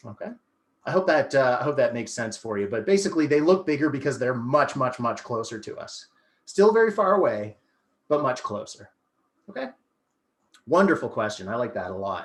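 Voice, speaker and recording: With an animated tone and very wide pitch swings, a man speaks at a fairly quick pace and a fairly high pitch, leaving long, frequent pauses. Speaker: astronomy educator. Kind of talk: educational presentation.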